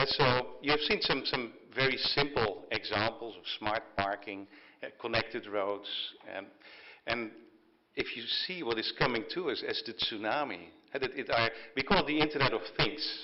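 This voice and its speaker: A man with a Dutch accent speaks at a moderate pace and medium pitch, with ordinary pitch variation and long, frequent pauses. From Netherlands. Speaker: technology company executive. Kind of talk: keynote speech at signing ceremony. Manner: halting, many fillers and repetitions.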